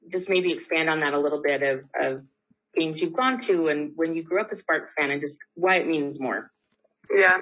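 She is a woman with an American accent and an unremarkable speaking voice, pitched fairly low. She talks at a moderate pace with ordinary pitch variation. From Los Angeles, California. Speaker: pro basketball player. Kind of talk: press conference statement and answers. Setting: video call press conference.

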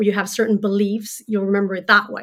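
In a Swedish accent, a woman talks at a medium pitch. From Sweden. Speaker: journalist and author. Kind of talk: interview, explaining research.

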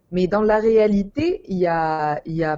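Her pitch rises and falls in an ordinary way. This voice belongs to a woman. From Tunisia. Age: 20s. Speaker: university student. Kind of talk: interview. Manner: halting.

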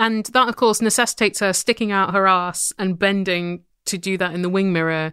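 A woman with an English accent speaks at a fairly quick pace in a bright, sharp tone with fairly even intonation. The sound is dry and close with no echo, in a very clean recording with a silent background. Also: medium pitch for a woman. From England. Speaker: podcast co-host. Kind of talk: casual chat.

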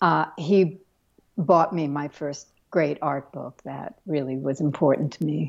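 In an American accent, a woman speaks at a fairly slow pace with a very deep, low pitch, vocal fry, fairly even intonation, and big swings in loudness. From Brooklyn, New York. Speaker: illustrator and printmaker. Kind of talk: interview.

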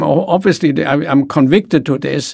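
A man speaks with a German accent at a fairly high pitch. His voice has vocal fry and ordinary pitch variation. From Germany. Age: 80s+. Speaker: author, business executive. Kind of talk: interview, podcast conversation. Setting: studio. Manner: halting, hesitant.

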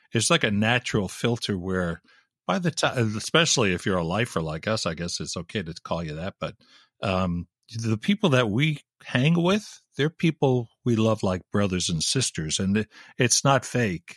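Recorded very cleanly against a silent background, with a dry, close sound and no echo, a man with an American accent talks at a moderate pace in a fairly low pitch with very wide pitch swings. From Long Island, New York. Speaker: radio host. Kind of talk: casual chat.

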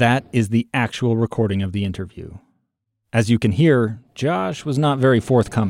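A man with an unremarkable speaking voice talks at a moderate pace and medium pitch with ordinary pitch variation, recorded dry and close with no echo. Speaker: podcast host and narrator. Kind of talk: scripted narration.

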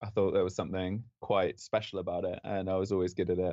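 This man has a London accent. His pace is moderate. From London, England. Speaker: astrophysics PhD student. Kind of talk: interview.

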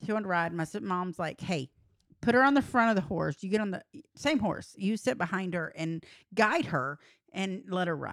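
A woman with a Texan accent speaks at a moderate pace and medium pitch, with lively intonation. The recording is very clean, with a silent background. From Texas, rural San Saba area. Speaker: podcast co-host. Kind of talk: casual chat.

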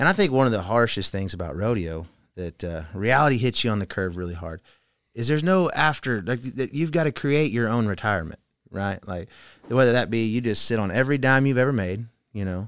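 An unremarkable speaking voice with an American accent moves at a fairly quick pace with lively intonation. The recording is very clean, with a silent background. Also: man. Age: 30s. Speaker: professional team roper. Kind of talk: casual chat.

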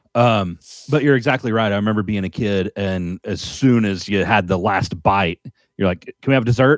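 Heard with a dry, close sound with no echo on a very clean recording with a silent background, a man in a normal speaking voice talks at a moderate pace with ordinary pitch variation. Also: fairly low pitch for a man. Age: 40s. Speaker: podcast co-host and musician. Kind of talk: casual chat.

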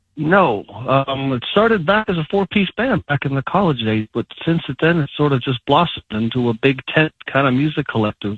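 A man talks at a moderate pace with hardly any pauses and lively intonation. His is an ordinary speaking voice, fairly high in pitch. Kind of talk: casual interview.

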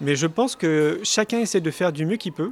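The man's voice sits at a fairly high pitch. The recording is very clean, with a silent background. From Paris, France. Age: 40s. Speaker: speaker and documentary filmmaker. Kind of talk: interview. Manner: hesitant with fillers.

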